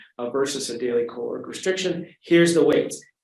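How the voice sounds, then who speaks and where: Audible room echo surrounds a man speaking at a fairly quick pace. His intonation is lively. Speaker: physician lecturer. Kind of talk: lecture. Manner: fast.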